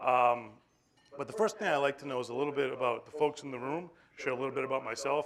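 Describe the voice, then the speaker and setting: With a Boston accent, a man talks at a very fast pace with ordinary pitch variation. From Boston, Massachusetts. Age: 40s. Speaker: animal welfare regional director. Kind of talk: conference talk. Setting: stage with audience. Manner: casual, joking.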